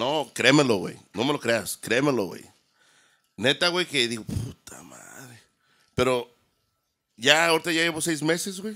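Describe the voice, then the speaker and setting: A man with a bright, sharp tone speaks with lively intonation and big swings in loudness. He leaves long, frequent pauses against a quiet background. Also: fairly high pitch for a man, fairly slow pace. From Mexico, San Luis Potosí. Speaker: DJ and audio production business owner. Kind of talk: casual chat. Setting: studio. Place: studio. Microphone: studio mic.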